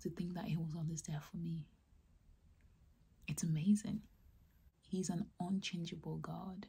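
Pausing long and often, a woman talks at a fairly slow pace with a fairly low pitch, vocal fry, a dark, mellow tone and fairly even intonation. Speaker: ASMR creator. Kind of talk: whispered personal testimony about faith. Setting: close-mic, ASMR style. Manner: whispered, soft, slow. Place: home room.

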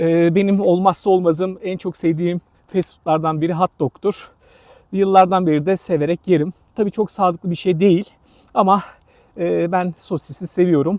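Dry and close with no echo, a man's high voice comes at a moderate pace with fairly even intonation. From Turkey, Izmir (Balçova). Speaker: travel vlogger. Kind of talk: vlog narration. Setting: outdoors.

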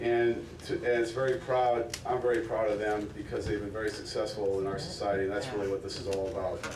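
With noticeable background noise behind him, a man talks at a fairly quick pace with hardly any pauses and fairly even intonation. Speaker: football coach. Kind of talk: acceptance speech. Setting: stage with audience. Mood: proud, reflective.

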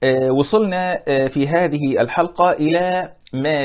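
Against a quiet background, the voice shows ordinary pitch variation. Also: man. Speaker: religious teacher. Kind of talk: lecture. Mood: warm, smiling explanation. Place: home room. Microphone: lapel.

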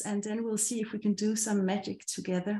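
Someone with a Danish accent talks at a fairly quick pace amid audible room echo. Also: woman. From Denmark. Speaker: meetup host. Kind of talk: event hosting. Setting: video call. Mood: friendly, upbeat. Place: home room. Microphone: webcam.

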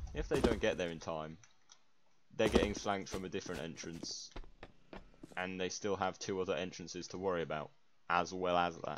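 A man with an English accent speaks with a very deep, low pitch and fairly even intonation. His pace is fairly quick, yet broken by long, frequent pauses over noticeable background noise. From England. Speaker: gamer, map playtester. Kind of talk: casual gaming chat.

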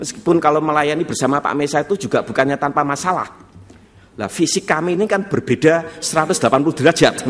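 Here a man talks at a fairly high pitch. He moves at a fairly quick pace with ordinary pitch variation. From Central Java. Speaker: pastor. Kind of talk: sermon. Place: church.

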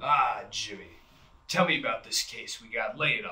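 In a put-on character voice, a man speaks at a moderate pace with big swings in loudness. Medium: stage.

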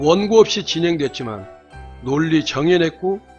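Music plays in the background as a man with a fairly high pitch talks at a very slow pace, his voice making very wide pitch swings. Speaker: news commentator. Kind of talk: news commentary narration.

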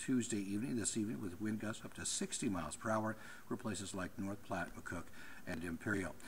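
A man's somewhat breathy, fairly low voice at a fairly quick pace, with ordinary pitch variation. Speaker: TV meteorologist. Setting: television weather center.

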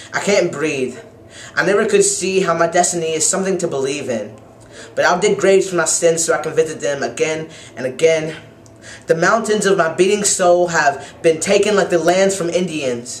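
Ordinary pitch variation runs through speech delivered at a medium speed. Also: man, high pitch for a man. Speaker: poet; university student. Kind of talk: poetry reading. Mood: wistful, emotional. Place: home room. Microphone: webcam.

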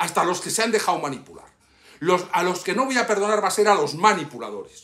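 This man has a high pitch. He talks at a fairly quick pace. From Cuba, Havana; Cuba. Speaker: YouTuber and political activist; YouTuber. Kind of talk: personal video message. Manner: impassioned. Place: home room. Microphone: phone near.

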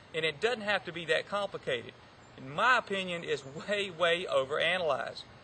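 Against light background noise, a man projects a raised, high-pitched voice at a fairly quick pace with ordinary pitch variation. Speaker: golf teaching professional. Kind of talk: golf instruction talk. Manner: fast. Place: open country.

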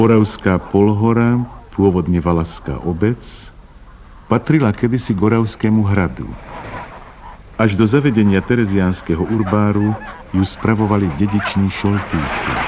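A man with a fairly low pitch speaks at a moderate pace with ordinary pitch variation and long, frequent pauses over light background noise. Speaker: documentary narrator. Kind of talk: documentary narration.

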